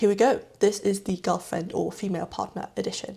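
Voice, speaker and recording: The woman's medium-pitched voice is somewhat breathy, with a dark, mellow tone. Her intonation stays fairly even. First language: not English. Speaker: knitting YouTuber. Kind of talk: casual vlog talk about gift knitting patterns.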